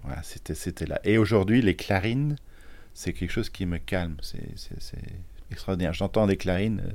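A man's fairly low voice, with ordinary pitch variation, moves at a moderate pace broken by long, frequent pauses. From Belgium, Charleroi. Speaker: multi-instrumentalist musician. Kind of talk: interview testimony.

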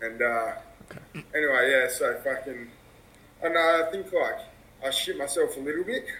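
A man with an Australian accent talks at a moderate pace, leaving long, frequent pauses. His loudness swings widely, and background noise is noticeable. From Western Australia (Perth). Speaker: random video chat stranger. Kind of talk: casual chat. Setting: outdoors.

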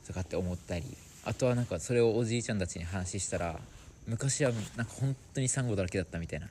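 Fairly low in pitch, a man talks at a very fast pace with ordinary pitch variation. His voice is somewhat breathy, with a dark, mellow tone. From Okinawa. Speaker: social activist. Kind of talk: casual interview.

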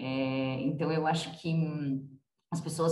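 A somewhat breathy woman's voice, very deep and low in pitch. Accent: São Paulo. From Brazil, São Paulo city. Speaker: nonprofit co-founder and president. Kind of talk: interview.

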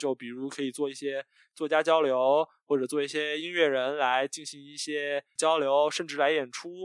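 A moderate pace with big swings in loudness, in a dry, close sound with no echo. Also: man, fairly high pitch for a man. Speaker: podcast host, guest here. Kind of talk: casual interview. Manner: energetic, youthful.

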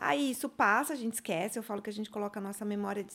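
A woman with an unremarkable speaking voice talks at a fairly quick pace, her fairly high pitch showing ordinary pitch variation. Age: 50s. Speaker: psychologist. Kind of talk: casual chat.

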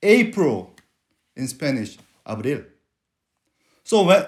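At a fairly slow pace, a man with a Korean accent speaks with lively intonation in a very clean recording with a silent background. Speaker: preacher. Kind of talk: sermon. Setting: church.

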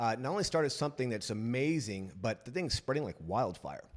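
Lively in intonation, a man with a plain, everyday voice speaks at a medium pitch with an American accent. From US West Coast, San Diego. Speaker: podcast host. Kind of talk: casual interview.

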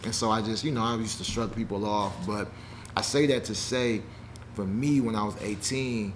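Fairly quick, fairly even speech with audible room echo and noticeable background noise. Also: man. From Nashville, Tennessee (partly Chicago). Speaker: education entrepreneur. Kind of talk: casual interview.

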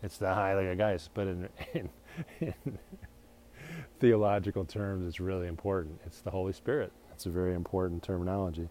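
Very deep and low in pitch, a man's dark, mellow voice moves at a fairly quick pace with fairly even intonation and long, frequent pauses. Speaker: solo podcaster. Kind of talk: casual monologue. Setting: outdoors. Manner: halting.

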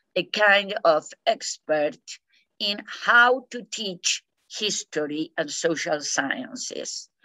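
A woman speaks very slowly with a Spanish accent, her pitch swinging very widely. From Argentina. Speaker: peace education scholar. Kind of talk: interview. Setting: video call. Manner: halting.

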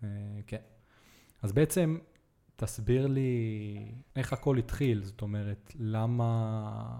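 A man's medium-pitched voice with a dark, mellow tone and ordinary pitch variation, at a very slow pace in a very clean recording with a silent background. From Israel (Netanya). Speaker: podcast host. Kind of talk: casual interview chat.

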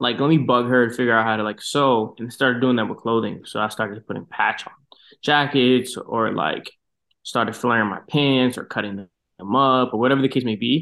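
A man in an American accent talks at a fairly quick pace with a plain, everyday voice. His pitch sits in the medium range and his intonation stays fairly even. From Boston, US. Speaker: marketing professional and designer. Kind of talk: casual interview.

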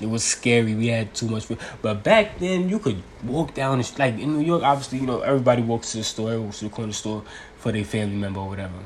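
Animated in tone, a man talks at a very fast pace with ordinary pitch variation. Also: medium pitch for a man. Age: 20s. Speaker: podcaster. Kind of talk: casual monologue. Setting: at home.

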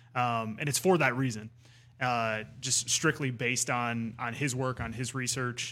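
A man speaks in an unremarkable speaking voice at a medium pitch. His pace is fairly slow and his intonation is fairly even. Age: 30s. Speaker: head brewer. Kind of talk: casual chat. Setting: studio.

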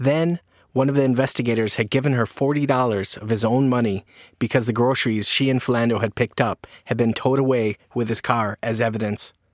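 In a plain, everyday voice, a man speaks at a medium pitch and a fairly quick pace with ordinary pitch variation, the sound dry and close with no echo. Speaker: podcast reporter. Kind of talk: dramatic narration. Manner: measured, somber, storytelling.

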